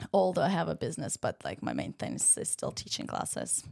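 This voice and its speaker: A woman with a Ukrainian accent talks at a fairly low pitch with vocal fry. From Ukraine. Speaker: Pilates studio owner. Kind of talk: casual chat. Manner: halting, many fillers.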